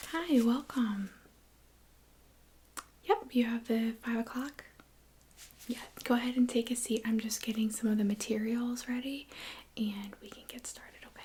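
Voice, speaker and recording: Soft-spoken, the voice moves at a moderate pace with long, frequent pauses. Noticeable background noise runs underneath. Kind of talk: ASMR role play, soft-spoken design consultant.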